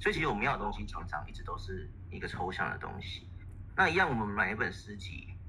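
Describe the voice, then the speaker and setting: A man with a Taiwanese accent at a very fast pace, big swings in loudness, and light background noise. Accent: Taiwanese Mandarin. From Taiwan, Taipei. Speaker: poet. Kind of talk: online panel discussion. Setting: voice chat call.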